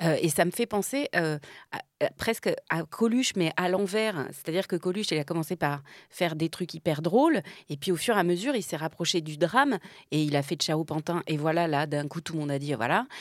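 Speaking at a fairly quick pace, a woman has an unremarkable speaking voice pitched fairly low, with a dry, close sound, no echo, and a very clean recording over a silent background. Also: lively intonation. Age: 50s. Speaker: actress and comedian. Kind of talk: casual chat.

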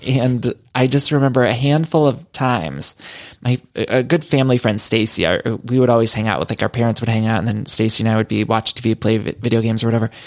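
A man speaks very fast at a medium pitch. His pitch varies in an ordinary way. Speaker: podcast host. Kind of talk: casual chat.

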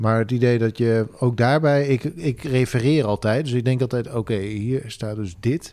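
Man with a dark, mellow tone at a medium pitch, moderate pace, and ordinary pitch variation, on a very clean recording with a silent background. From Drenthe, northern Netherlands. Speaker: podcast host. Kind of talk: casual chat.

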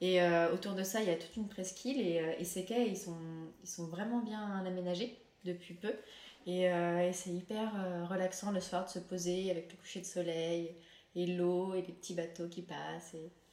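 Noticeable background noise and audible room echo surround a woman's voice. She talks at a moderate pace with fairly even intonation. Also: medium pitch for a woman. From France. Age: 20s. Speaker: chef and restaurateur. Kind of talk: interview.

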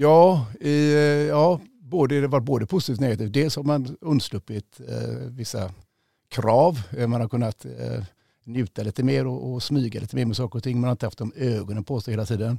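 A dark, mellow tone at a moderate pace with ordinary pitch variation, in a dry, close sound with no echo. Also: man, medium pitch for a man. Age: 50s. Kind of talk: interview. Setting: studio.

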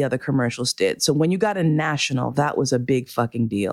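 At a moderate pace, a woman with a very deep, low pitch speaks in a dry, close sound with no echo, in a very clean recording with a silent background. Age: 50s. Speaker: podcast host. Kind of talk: personal monologue.

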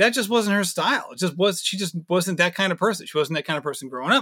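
Projecting a raised voice, a man speaks high for a man with a bright, sharp tone and lively intonation, the sound dry and close with no echo. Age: 30s. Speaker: amateur runner, podcast host. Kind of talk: casual interview chat.

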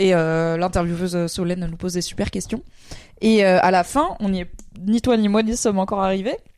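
This woman has an unremarkable speaking voice, medium in pitch with fairly even intonation at a moderate pace. The recording is very clean, with a silent background. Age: 30s. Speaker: streamer and podcast co-host. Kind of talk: casual chat.

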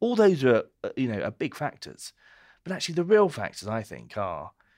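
A man with a British accent speaks at a fairly quick pace, his pitch swinging very widely, on a very clean recording with a silent background. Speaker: wine columnist and co-host. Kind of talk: casual chat. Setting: pub.

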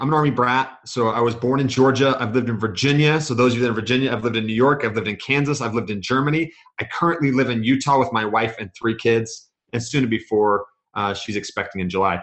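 At a very fast pace, a man speaks with a medium pitch and ordinary pitch variation. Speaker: podcast guest, real estate investor. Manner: fast talker.

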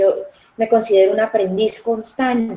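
Fairly even in intonation, a woman speaks in a dark, mellow tone. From Colombia, Medellín (paisa), raised in Cali. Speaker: results coach. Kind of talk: interview.

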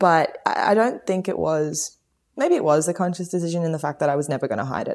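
Speaking at a very fast pace, a woman talks with an Australian accent. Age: 20s. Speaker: pop musician and mother. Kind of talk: interview conversation. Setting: remote call from home garage.

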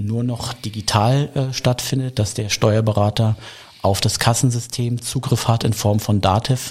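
A normal speaking voice from a man, medium in pitch, at a moderate pace with fairly even intonation. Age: 40s. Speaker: craft beer bar owner. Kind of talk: interview.

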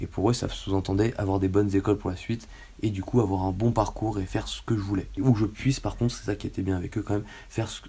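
Delivered at a very fast pace, the voice has vocal fry, a dark, mellow tone and monotone, flat intonation. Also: man, fairly low pitch for a man. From Paris region, France. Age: 20s. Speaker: physiotherapist. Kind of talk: casual chat.

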